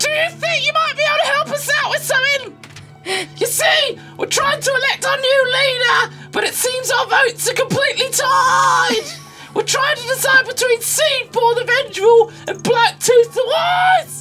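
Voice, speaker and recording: Clear music plays in the background behind a put-on character voice. It is extremely high in pitch and moves at a moderate pace. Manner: polite, formal.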